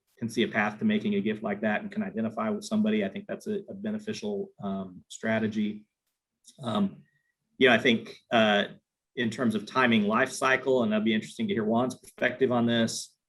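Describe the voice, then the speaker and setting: At a fairly quick pace, a man speaks in an ordinary speaking voice with medium pitch and ordinary pitch variation. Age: 50s. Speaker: nonprofit planned giving fundraiser. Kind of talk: webinar panel discussion.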